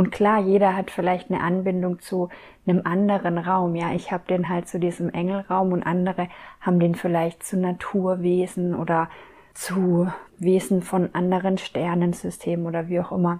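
A woman speaks at a moderate pace in a fairly low, dark, mellow voice. Her intonation is flat and monotone. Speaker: spiritual podcast host. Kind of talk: casual monologue. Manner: improvised, flowing.

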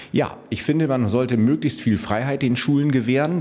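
The intonation is lively and the pace moderate, with noticeable background noise behind the speech. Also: man. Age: 40s. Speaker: politician and lawyer. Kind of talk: political interview.

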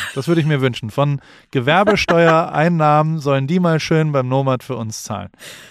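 A man's fairly high voice with ordinary pitch variation, on a very clean recording with a silent background. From Heidelberg, Germany (Kurpfalz). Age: 40s. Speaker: entrepreneur and hip-hop creative. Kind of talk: casual interview chat. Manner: fast, talkative.

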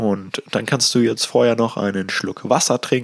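In a plain, everyday voice, a man speaks at a medium pitch. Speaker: podcast host and meditation guide. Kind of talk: guided meditation. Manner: gentle, hypnotic, repetitive, second-person instructions.

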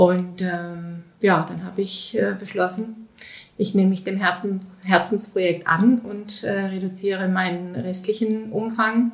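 Somewhat breathy and medium-pitched, a woman talks at a fairly slow pace with fairly even intonation. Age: 50s. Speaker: business coach and shop founder. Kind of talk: interview. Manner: many filler sounds.

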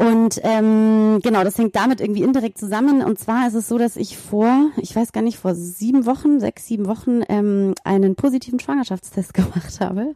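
With hardly any pauses, a dark, mellow voice moves at a moderate pace with ordinary pitch variation, heard dry and close with no echo. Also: woman, fairly high pitch for a woman. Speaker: podcast co-host. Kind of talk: casual chat.

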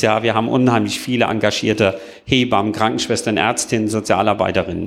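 A man speaks over noticeable background noise. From Mainz, Germany. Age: 60s. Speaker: doctor. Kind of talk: panel discussion.

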